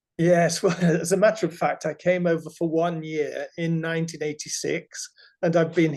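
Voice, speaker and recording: Here a man talks with an English accent at a moderate pace. His high voice stays monotone and flat. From England. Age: 70s. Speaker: author. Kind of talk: interview.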